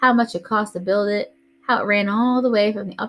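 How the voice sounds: Intonation here is fairly even. It is a natural reading voice.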